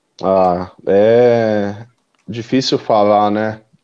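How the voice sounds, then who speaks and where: His voice is fairly low in pitch with a dark, mellow tone. The man speaks in a flat monotone. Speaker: football fan. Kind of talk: casual chat.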